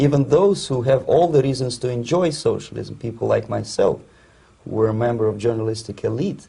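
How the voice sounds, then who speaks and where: At a moderate pace, a man speaks with vocal fry, a dark, mellow tone and ordinary pitch variation. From Soviet Union (Russia). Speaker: Soviet defector, former journalist. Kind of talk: interview. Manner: halting with repeated words.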